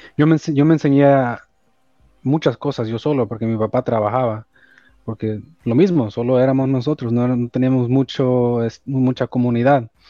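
With a Los Angeles accent, a man speaks at a moderate pace and medium pitch, his dark, mellow tone and fairly even intonation captured in a dry, close sound with no echo. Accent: Los Angeles Spanglish, US-accented Spanish. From El Salvador, raised in Los Angeles. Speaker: electrician and business owner. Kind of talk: casual interview. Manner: code-switching English and Spanish.

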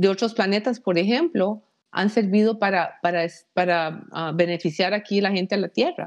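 Her pitch is medium and varies in an ordinary way as the woman talks. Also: quiet background. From Costa Rica. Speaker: aerospace engineer. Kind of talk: interview. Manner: halting, many fillers.

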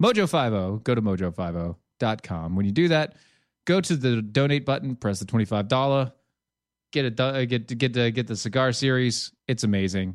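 Against a quiet background, a man with an unremarkable speaking voice and medium pitch talks at a fairly quick pace with lively intonation. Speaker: podcast co-host. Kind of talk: casual chat.

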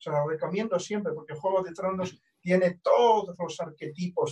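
A man speaks at a moderate pace with a high-pitched voice. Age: 60s. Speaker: astrologer. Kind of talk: casual interview conversation.

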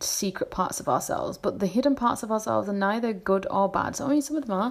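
Here is a woman speaking. Her pace is fairly quick. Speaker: spiritual podcaster. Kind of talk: casual monologue. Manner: hesitant, many fillers.

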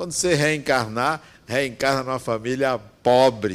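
A man speaks at a fairly slow pace and a medium pitch. He has an unremarkable speaking voice. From Brazil, Bahia interior. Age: 60s. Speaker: spiritist speaker. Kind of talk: spiritual talk.

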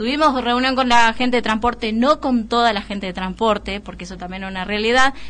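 Fairly high in pitch, a woman speaks in an unremarkable speaking voice at a fairly quick pace, with hardly any pauses, ordinary pitch variation and big swings in loudness. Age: 30s. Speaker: city councillor. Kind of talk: radio interview.

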